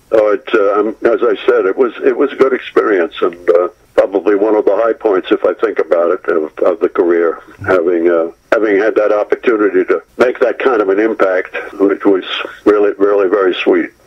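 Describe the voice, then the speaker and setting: The man speaks at a fairly quick pace. Noticeable background noise is present. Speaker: actor. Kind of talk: interview. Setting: phone call. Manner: halting.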